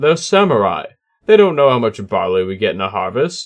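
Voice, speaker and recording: Using a put-on character voice, the speaker talks at a fairly quick pace with very wide pitch swings. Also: man, medium pitch for a man. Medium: read story.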